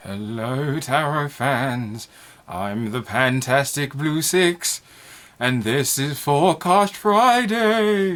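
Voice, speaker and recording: A man puts on a character voice with a playful tone and a fairly high pitch. He goes at a very slow pace. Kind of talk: theatrical, spooky. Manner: spooky, playful.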